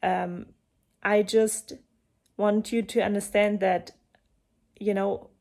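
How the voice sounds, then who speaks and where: Very slow, flat, monotone delivery from a woman with a German accent, full of long, frequent pauses. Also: medium pitch for a woman. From eastern Germany. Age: 30s. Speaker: coach and breathwork facilitator. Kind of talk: personal talk to camera.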